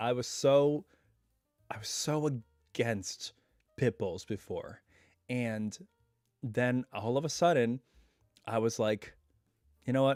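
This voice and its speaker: Music plays in the background as a man speaks at a very slow pace and medium pitch, with long, frequent pauses and a dry, close sound with no echo. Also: ordinary pitch variation. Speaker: YouTube reaction channel host. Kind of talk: casual live stream talk. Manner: relaxed, chatty.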